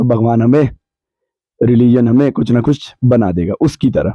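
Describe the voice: A man speaks at a medium pitch and moderate pace, with ordinary pitch variation. His tone is dark and mellow, and the sound is dry and close with no echo.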